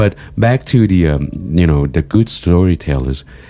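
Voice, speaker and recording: A man speaks with a very deep, low pitch. Noticeable background noise sits behind him. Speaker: podcast co-host. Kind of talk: casual chat. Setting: studio. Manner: emotional tone.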